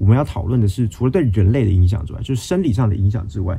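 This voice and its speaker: In a Taiwanese accent, a man talks at a very fast pace with a fairly low pitch and ordinary pitch variation. His tone is dark and mellow, and somewhat breathy. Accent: Taiwanese Mandarin. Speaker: podcast host, finance news. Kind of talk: solo explainer monologue. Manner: self-correcting, with hesitations.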